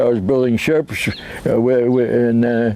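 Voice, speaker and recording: A speaker with an American accent talks at a moderate pace over noticeable background noise. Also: man. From US Northeast, Rhode Island. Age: 80s+. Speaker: war veteran. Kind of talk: interview testimony. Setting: outdoors. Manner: halting.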